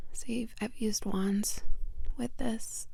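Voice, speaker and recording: A soft-spoken woman talks at a fairly slow pace with fairly even intonation. Her tone is dark, mellow and soothing. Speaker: reiki practitioner. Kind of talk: ASMR crystal show-and-tell. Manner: soft, soothing.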